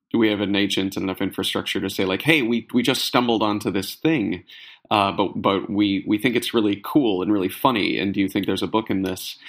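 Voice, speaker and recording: Fairly low in pitch, a man with an unremarkable speaking voice talks at a fairly quick pace with ordinary pitch variation. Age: 30s. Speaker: author and comedy writer. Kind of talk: casual interview.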